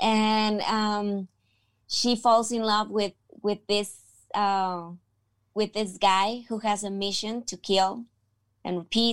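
A woman with a Spanish accent speaks very slowly at a medium pitch, with long, frequent pauses. Her intonation stays monotone and flat in a very clean recording with a silent background. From Mexico, Tijuana. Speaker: actress. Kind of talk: interview.

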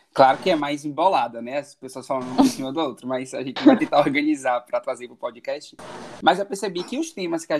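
His pitch swings very widely. The man keeps up a fairly quick pace. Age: 20s. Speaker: podcast host. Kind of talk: casual chat, podcast intro. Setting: remote recording, distance call.

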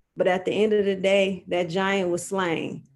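A woman with an American accent has a normal speaking voice. She talks at a medium pitch and a fairly slow pace. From Detroit, Michigan. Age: 30s. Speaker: judge. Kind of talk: interview. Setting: live stream.

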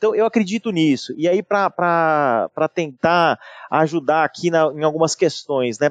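Heard with a dry, close sound and no echo, a man talks at a fairly slow pace in a fairly high pitch. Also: ordinary pitch variation, very even loudness. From São Paulo, Brazil. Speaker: IT and digital director at a large company. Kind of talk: interview conversation. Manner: halting with many repetitions.

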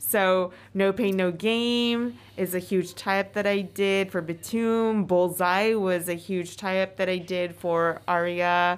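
A woman at medium pitch, very slow pace and very even loudness, in a very clean recording with a silent background. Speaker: podcast host and singer. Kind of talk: casual chat. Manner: animated.

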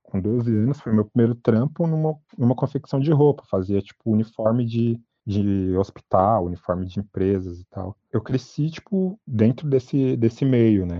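Lively intonation marks a man's unremarkable speaking voice, pitched medium and delivered at a moderate pace. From Brazil, São Paulo metro area (Itaquaquecetuba). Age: 30s. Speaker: fashion designer and artist. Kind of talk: interview.

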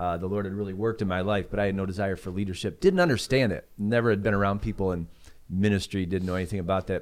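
The very fast speech comes in an American accent with fairly even intonation, in a very clean recording with a silent background. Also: man, fairly low pitch for a man. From Chicago suburbs. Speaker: founding pastor. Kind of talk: casual chat.

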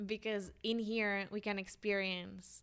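Very slow delivery with a Colombian accent and a flat, monotone intonation. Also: woman. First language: Spanish. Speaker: podcast host. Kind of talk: casual interview chat.

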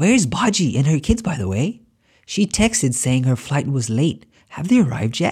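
Somewhat breathy, a man speaks at a moderate pace with a fairly high pitch and very wide pitch swings. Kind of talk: dramatic story dialogue.

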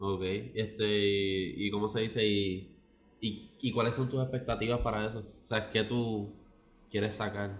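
A man with a fairly low pitch speaks in a monotone, flat way, with audible room echo around him. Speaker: podcast co-host. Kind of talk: casual chat.

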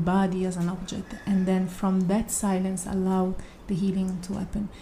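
The voice carries an Italian accent and monotone, flat intonation, with audible room echo. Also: woman. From Italy. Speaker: yoga and meditation teacher. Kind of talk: casual chat.

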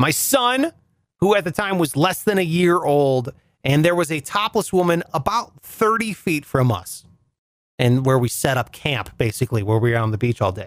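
With an American accent, a man speaks at a moderate pace in an animated tone, his pitch swinging very widely. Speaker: podcast host. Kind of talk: casual comedic monologue.

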